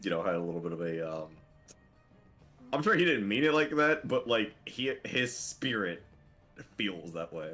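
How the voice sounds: A man talks at a moderate pace, his pitch swinging very widely, as music plays in the background.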